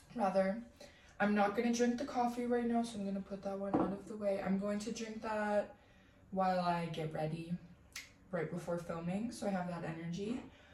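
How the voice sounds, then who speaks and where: With an American accent, a woman talks at a moderate pace and medium pitch with ordinary pitch variation, while audible room echo and noticeable background noise surround her. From United States. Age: 20s. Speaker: lifestyle vlogger. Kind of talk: casual vlog narration. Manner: soft-spoken.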